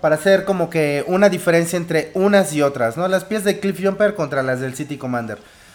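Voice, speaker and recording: With noticeable background noise behind him, a man speaks at a high pitch with lively intonation. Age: 30s. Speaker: podcast co-host. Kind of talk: casual chat. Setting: live internet radio broadcast.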